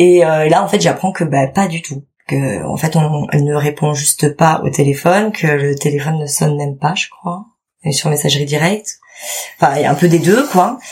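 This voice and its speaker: A woman speaks at a moderate pace with a very deep, low pitch. Her voice is somewhat breathy, with ordinary pitch variation. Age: 30s. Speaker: mother sharing birth story. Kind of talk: testimony.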